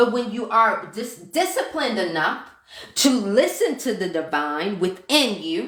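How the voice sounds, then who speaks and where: Loud and passionately animated, a woman speaks with very wide pitch swings amid audible room echo. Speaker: manifestation and mindset coach. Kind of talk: live stream talk to viewers. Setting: live stream. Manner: passionate, animated.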